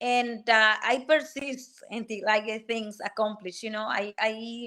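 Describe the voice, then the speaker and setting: A woman's high-pitched voice with a Spanish accent, bright and sharp in tone, at a moderate pace. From Dominican Republic. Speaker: technical program manager and career coach. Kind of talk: podcast interview.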